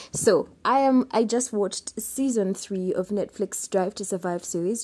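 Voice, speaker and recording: A woman speaks at a medium pitch with a dark, mellow tone. Her pitch varies in an ordinary way. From Uganda, Kampala. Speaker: podcast host. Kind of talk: casual solo podcast monologue. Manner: hesitant with fillers.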